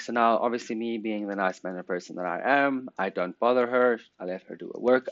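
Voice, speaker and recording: This man has a South African accent. His voice sits at a medium pitch. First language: Afrikaans. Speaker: podcast host. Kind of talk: casual chat.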